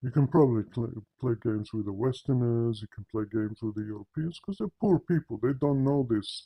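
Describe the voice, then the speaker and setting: A man with a non-native accent speaks at a moderate pace in a medium pitch, his dark, mellow tone somewhat breathy, with ordinary pitch variation and a dry, close sound with no echo. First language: not English. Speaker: religious commentator. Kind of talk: polemical monologue. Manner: animated.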